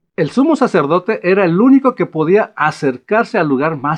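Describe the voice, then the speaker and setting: Speaking at a moderate pace, a man's pitch swings very widely. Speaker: bible teacher. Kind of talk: bible study teaching.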